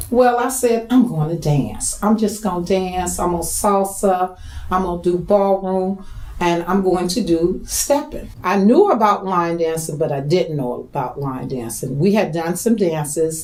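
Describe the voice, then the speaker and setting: Lively in intonation and medium in pitch, a woman speaks at a fairly slow pace, with audible room echo and noticeable background noise. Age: 60s. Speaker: line dance instructor and choreographer. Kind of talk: documentary interview.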